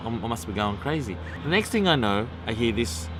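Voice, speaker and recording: Over background music and audible room echo, a man with an Australian accent talks at a very fast pace, his pitch swinging very widely. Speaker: vlogger. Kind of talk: casual vlog monologue. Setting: outdoors. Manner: animated.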